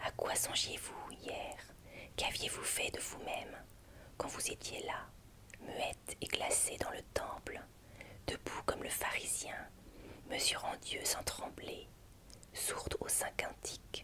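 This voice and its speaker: Whispered at a very slow pace, the voice breaks into long, frequent pauses over noticeable background noise. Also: woman. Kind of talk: literary reading of a passionate letter from a lover. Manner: whispered, soft, slow.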